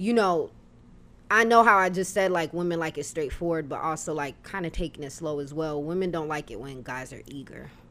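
On a very clean recording with a silent background, a woman with a plain, everyday voice talks at a fairly quick pace and fairly low pitch, showing ordinary pitch variation and big swings in loudness. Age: 20s. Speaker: podcast guest. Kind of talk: casual chat.

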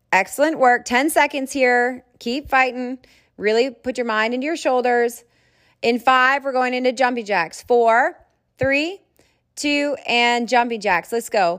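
On a very clean recording with a silent background, a woman with a high pitch speaks at a fairly slow pace with ordinary pitch variation. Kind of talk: fitness class instruction. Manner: upbeat, encouraging, commanding.

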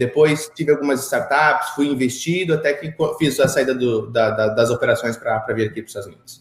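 At a fairly quick pace, a man talks with a fairly high pitch and ordinary pitch variation. His voice is somewhat breathy, with big swings in loudness. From Brazil, Curitiba. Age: 30s. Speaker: entrepreneur. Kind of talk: interview.

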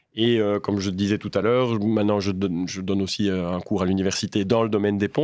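In a very clean recording with a silent background, a man talks at a fairly quick pace, his pitch fairly low and his intonation fairly even. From Belgium, Liège province (Waremme). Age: 40s. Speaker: civil engineer and bridge project director. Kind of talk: interview. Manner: hesitant, frequent repetitions.

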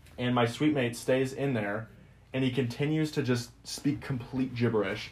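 A man speaks at a medium pitch with ordinary pitch variation. His voice is somewhat breathy and his pace moderate. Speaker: podcast co-host, college student. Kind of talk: casual chat.

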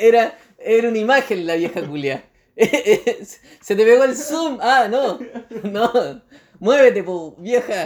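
With a Chilean accent, a man at an extremely high pitch talks very slowly, his intonation lively and his pauses long and frequent. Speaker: podcast co-host. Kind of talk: casual chat.

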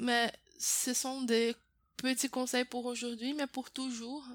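The woman's voice sits at a high pitch. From Brazil. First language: Portuguese (speaking French). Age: 20s. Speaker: French teacher. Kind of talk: interview. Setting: host's home. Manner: hesitant, many fillers.

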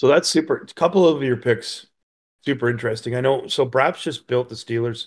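The recording is very clean and the background silent. A man talks in a somewhat breathy voice. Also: medium pitch for a man, ordinary pitch variation, fairly quick pace. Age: 50s. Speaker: podcast host. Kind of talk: casual chat.

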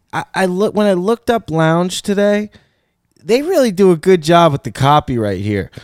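A man with a Michigan accent talks at a moderate pace and high pitch, with lively intonation and an animated tone. The recording is very clean, with a silent background and a dry, close sound with no echo. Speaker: podcast host. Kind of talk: casual banter. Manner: animated, joking.

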